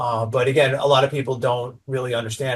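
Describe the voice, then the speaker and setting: With a slight New York accent, a man talks fairly quickly at a medium pitch, sounding somewhat breathy. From New York (Staten Island). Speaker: branding agency owner. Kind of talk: podcast interview. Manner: animated.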